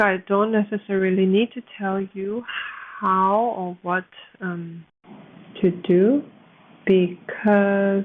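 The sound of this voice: A woman's put-on character voice, mumbling in a monotone, flat way at medium pitch and a fairly slow pace, with long, frequent pauses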